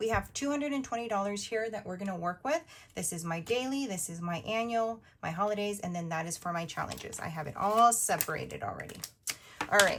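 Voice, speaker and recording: A woman with a medium pitch races along very fast with lively intonation over noticeable background noise. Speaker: budgeting video creator. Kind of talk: casual chat. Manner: chatty, filler-heavy; whispering.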